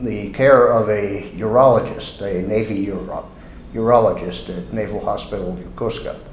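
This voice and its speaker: Moderate-paced speech from a man with an American accent, amid audible room echo and noticeable background noise. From United States. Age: 70s. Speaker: patient, retired marine. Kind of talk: testimony. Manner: halting.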